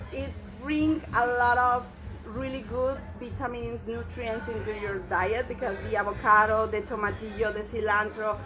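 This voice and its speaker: Spoken with a Mexican accent at a moderate pace, the clip has audible room echo and noticeable background noise. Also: woman. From Mexico. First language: Spanish. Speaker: chef. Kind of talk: cooking tutorial.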